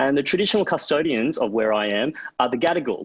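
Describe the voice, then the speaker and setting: With an Australian accent, a man is talking. The intonation rises and falls in a lively way. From Queensland, Australia. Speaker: author and broadcaster, panel moderator. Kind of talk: panel moderation.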